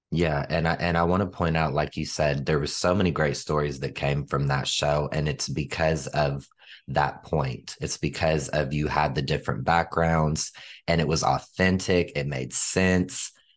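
A man speaks at a moderate pace in a very deep, low voice with vocal fry. His tone is enthusiastic, and the background is quiet. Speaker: podcast host. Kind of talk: casual interview.

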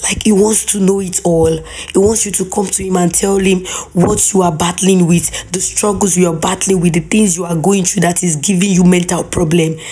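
Against noticeable background noise, a woman at a medium pitch speaks at a moderate pace with monotone, flat intonation. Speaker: faith podcast host. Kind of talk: devotional talk. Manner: warm, conversational.

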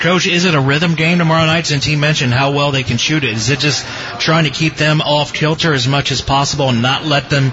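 A man with an American accent, fairly high pitch, very fast pace and very even loudness, amid noticeable background noise. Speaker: radio host. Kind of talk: live radio sports show interview, upbeat radio DJ patter. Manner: animated, welcoming, upbeat.

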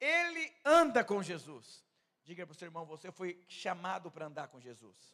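A man talks in an animated tone at a high pitch and moderate pace. His intonation is lively, with big swings in loudness. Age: 30s. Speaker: pastor. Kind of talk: sermon.

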